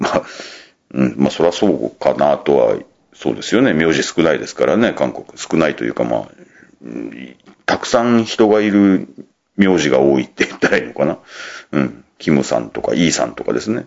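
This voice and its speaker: With very wide pitch swings, the voice moves at a fairly quick pace. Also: man, very deep, low pitch for a man, big swings in loudness. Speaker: podcast host. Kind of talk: casual solo podcast talk.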